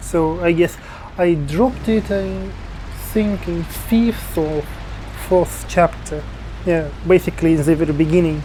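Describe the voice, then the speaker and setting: A man in a Russian accent at a fairly slow pace, long and frequent pauses, music playing in the background. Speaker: video game YouTuber. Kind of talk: game review commentary. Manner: halting, with fillers.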